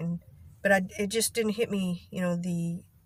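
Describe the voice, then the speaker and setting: A woman talks fairly quickly with a Texas accent at a medium pitch. Her voice is somewhat breathy, and her intonation stays fairly even. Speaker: vlogger. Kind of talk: casual vlog monologue. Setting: in a car in a parking lot. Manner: halting, occasional stutter-like vocal tic.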